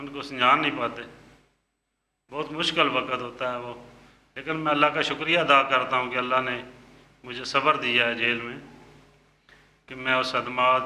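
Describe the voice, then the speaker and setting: A man speaks in a monotone, flat intonation with big swings in loudness. His pauses are long and frequent. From Pakistani Punjab, Mandi Bahauddin. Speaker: former prisoner. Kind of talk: interview testimony. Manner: halting.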